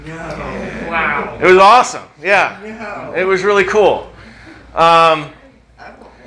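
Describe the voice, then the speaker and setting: Against noticeable background noise and audible room echo, a man with a high pitch uses a raised, projected voice at a very slow pace, with ordinary pitch variation. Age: 50s. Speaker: pastor. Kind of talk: sermon. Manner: halting.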